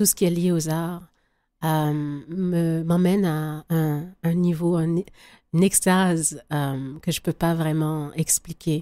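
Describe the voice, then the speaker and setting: A woman's dark, mellow, fairly low voice, monotone and flat at a very slow pace, in a very clean recording with a silent background. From Quebec. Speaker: singer-songwriter. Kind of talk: radio interview.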